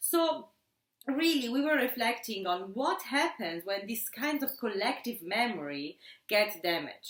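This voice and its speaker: A woman with an Italian accent speaks at a high pitch. Her pitch swings very widely. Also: fairly slow pace. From Italy. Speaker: sociology instructor. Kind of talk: casual academic discussion. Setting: at home.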